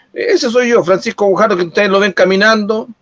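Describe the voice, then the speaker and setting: A man talks at a fairly quick pace. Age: 40s. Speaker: local politician. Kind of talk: interview.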